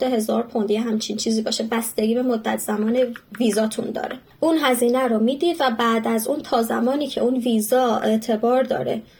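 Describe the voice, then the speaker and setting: Against noticeable background noise, a woman speaks fairly quickly at a fairly high pitch with fairly even intonation. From Iran, Yazd. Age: 20s. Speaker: audiologist, immigrant. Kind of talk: interview, casual chat.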